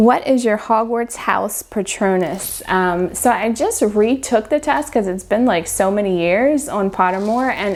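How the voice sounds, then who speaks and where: A woman with a Mid-Atlantic American accent speaks at a fairly high pitch with lively intonation and hardly any pauses, over noticeable background noise. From Maryland, Baltimore area. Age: 40s. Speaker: book vlogger. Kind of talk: casual Q&A vlog. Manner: chatty, casual with fillers.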